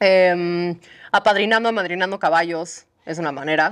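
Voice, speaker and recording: A woman's unremarkable speaking voice, fairly low in pitch with fairly even intonation, over a quiet background. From Mexico. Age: 30s. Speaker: horse sanctuary founder. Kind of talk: casual interview. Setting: on location at horse sanctuary. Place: farm machine. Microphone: lapel.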